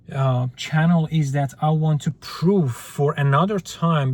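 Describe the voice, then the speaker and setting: A somewhat breathy, fairly high male voice with fairly even intonation. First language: not English. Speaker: YouTuber. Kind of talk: casual vlog monologue. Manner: halting, with fillers.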